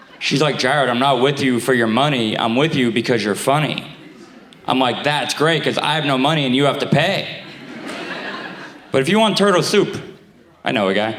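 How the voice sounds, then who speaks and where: With an American accent, the speaker talks at a fairly quick clip, leaving long, frequent pauses, keeping loudness very even and pitch variation ordinary, while noticeable background noise and audible room echo fill the recording. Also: man, fairly high pitch for a man. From Staten Island, New York. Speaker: stand-up comedian. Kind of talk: stand-up. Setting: stage with audience. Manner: halting.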